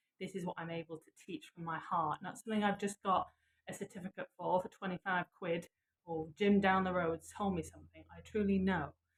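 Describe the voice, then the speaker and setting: A woman with a Lancashire accent talks at a fairly quick pace, her medium-pitched voice somewhat breathy and her intonation fairly even. Her loudness swings widely, and the sound is dry and close with no echo. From northern England, Blackpool. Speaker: yoga and manifestation teacher. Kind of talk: live guided session.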